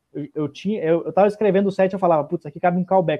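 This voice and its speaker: This man speaks with a Brazilian accent. His pitch is high and his intonation fairly even. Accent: regional Brazilian. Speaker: stand-up comedian. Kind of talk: casual chat.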